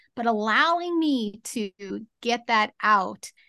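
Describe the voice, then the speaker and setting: Against a quiet background, a woman with a bright, sharp tone speaks at a very slow pace in a dry, close sound with no echo. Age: 40s. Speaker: motivational speaker. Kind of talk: interview. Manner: halting.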